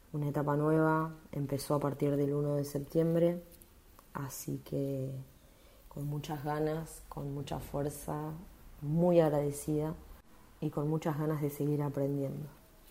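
In a room with audible echo, a woman talks at a fairly slow pace in a very deep, low voice, her intonation monotone and flat, with long, frequent pauses. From Argentina, Bragado (Buenos Aires province). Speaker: bank employee and union member. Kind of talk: personal testimony.

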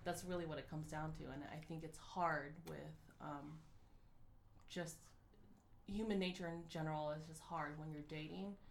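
Speaking at a moderate pace, a woman uses a very deep, low pitch and fairly even intonation. Long, frequent pauses fall between her words, and room echo is audible. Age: 30s. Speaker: podcast co-host. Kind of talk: casual chat.

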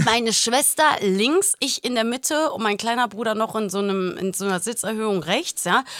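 Here is a woman with an unremarkable speaking voice, fairly high in pitch with ordinary pitch variation. She keeps a moderate pace and leaves hardly any pauses. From Germany, Portuguese-Greek family. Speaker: podcast co-host. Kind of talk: casual chat.

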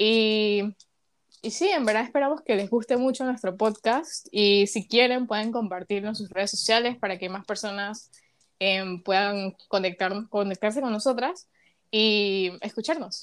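A woman speaks at a fairly slow pace with a Panamanian accent, her pitch fairly high and its variation ordinary. The recording is very clean, with a silent background. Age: young. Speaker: podcast co-host, psychology student. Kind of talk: casual chat.

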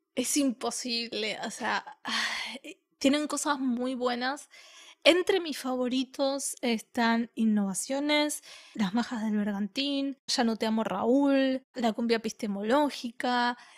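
A woman's high-pitched voice with an Argentine accent, very slow pace, ordinary pitch variation, and a dry, close sound with no echo. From Argentina. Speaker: podcast co-host and editor. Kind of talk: casual chat.

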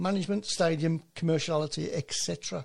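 A man speaks in a somewhat breathy voice. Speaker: football panelist. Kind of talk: casual chat.

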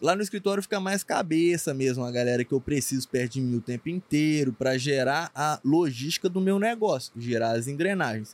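A man with an unremarkable speaking voice talks at a fairly quick pace with hardly any pauses, his pitch fairly high and intonation lively. The sound is dry and close with no echo. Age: 20s. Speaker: paid traffic marketing expert. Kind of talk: casual podcast interview.

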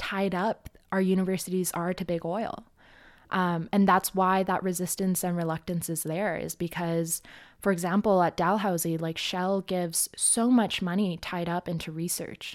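In a Canadian accent, a woman with a normal speaking voice talks at medium pitch on a very clean recording with a silent background. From Edmonton, Canada. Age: 20s. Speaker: grad student and climate organizer. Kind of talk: casual interview.

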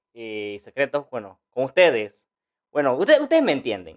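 The recording of this fairly high-pitched man is dry and close, with no echo. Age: 20s. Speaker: podcast host and social media influencer. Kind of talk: unscripted podcast intro monologue. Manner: animated; halting, many fillers and restarts.

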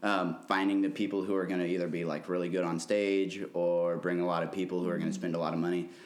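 A man with an American accent speaks at a very fast pace in a very deep, low pitch, his loudness very even. His intonation is monotone and flat, and audible room echo surrounds him. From Missouri (Columbia). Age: 20s. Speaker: concert promoter and musician. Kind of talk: casual interview.

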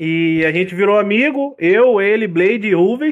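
Here a man talks at a very slow pace. His pitch is high, and his intonation is lively. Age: 20s. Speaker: gaming streamer and delivery courier. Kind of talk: casual chat.

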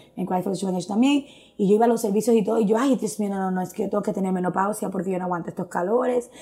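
A woman with a medium pitch talks very fast, her intonation fairly even. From Dominican Republic, Santo Domingo. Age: 40s. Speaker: churchgoer sharing testimony. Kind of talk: testimony.

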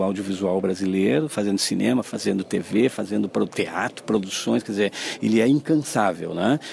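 A man at a fairly low pitch and moderate pace, with lively intonation, over noticeable background noise. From southern Brazil, Caxias do Sul. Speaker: film festival curator. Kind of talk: radio interview.

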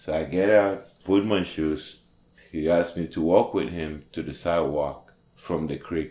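Speaking with a non-native accent, a man uses a very deep, low voice with a dark, mellow tone, fairly even intonation and a fairly slow pace. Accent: foreign. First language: not English. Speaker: formerly homeless restaurant worker. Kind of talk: interview testimony. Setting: studio. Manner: halting.

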